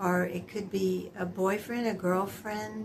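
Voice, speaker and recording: The delivery is very slow and somewhat breathy. Room echo is audible. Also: woman. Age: 70s. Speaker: lifestyle vlogger. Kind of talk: casual monologue. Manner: conversational, with hesitations.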